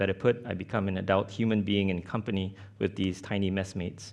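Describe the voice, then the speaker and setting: A man with a Mandarin accent speaks against a quiet background. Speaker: artist-researcher. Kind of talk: conference presentation. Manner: halting, many fillers.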